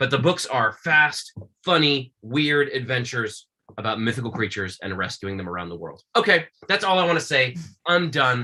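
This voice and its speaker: A man at medium pitch with a bright, sharp, animated tone, lively intonation and a fairly quick pace. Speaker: children's book author. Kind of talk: author talk to school classes on video call. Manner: fast.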